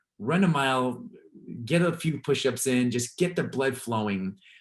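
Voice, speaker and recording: A man with an American accent and a medium pitch speaks at a moderate pace with lively intonation. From Los Angeles, US. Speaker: sports mental performance coach. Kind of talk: webinar interview. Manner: halting, repeats words.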